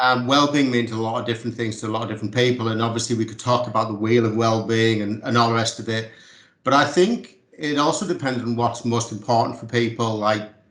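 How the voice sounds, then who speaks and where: A man with a strong Teesside accent talks at a very fast pace and medium pitch, his intonation fairly even, with audible room echo. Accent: strong Teesside northern English. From North East England, Middlesbrough. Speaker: community sports organisation manager. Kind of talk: casual interview chat.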